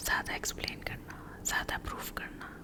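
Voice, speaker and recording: A woman whispers in a calm tone. Noticeable background noise is present. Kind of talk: soft-spoken ASMR comfort talk. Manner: soft-spoken, slow, calm.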